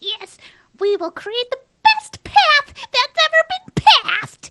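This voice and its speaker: Someone does a squeaky, put-on character voice. The delivery comes at a fairly slow pace. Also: female-sounding voice, extremely high pitch for a woman. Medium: actual play.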